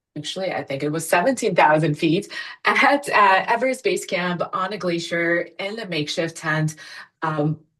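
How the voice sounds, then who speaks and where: The speaker has an unremarkable speaking voice. The intonation is lively and the pace moderate. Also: woman. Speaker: physician and ultrasound educator, company founder. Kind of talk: webinar presentation. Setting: online webinar.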